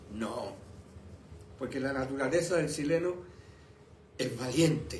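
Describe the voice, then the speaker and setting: A man speaks in a raised, projected voice with ordinary pitch variation, audible room echo and noticeable background noise. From Chile. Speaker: pastor. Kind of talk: sermon. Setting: live stream from home and church. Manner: slow.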